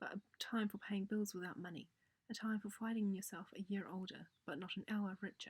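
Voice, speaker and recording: A soft-spoken, somewhat breathy woman at a medium pitch, moderate pace and fairly even intonation. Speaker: narrator. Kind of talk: audiobook reading.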